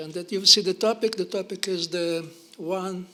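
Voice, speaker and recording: The speaker uses a raised, projected voice with a Ukrainian accent and fairly even intonation. Noticeable background noise is present. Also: man. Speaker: historian, professor. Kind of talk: lecture. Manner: fast; halting, stammering.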